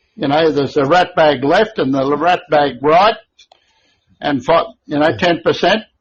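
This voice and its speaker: A man with an Australian accent, fairly high in pitch, at a fairly slow pace. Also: ordinary pitch variation. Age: 70s. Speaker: company founder. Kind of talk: podcast interview. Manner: animated.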